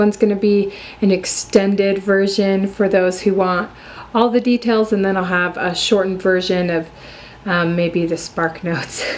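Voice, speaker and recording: Against noticeable background noise, a woman speaks at a moderate pace and a medium pitch. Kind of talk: casual talk to camera.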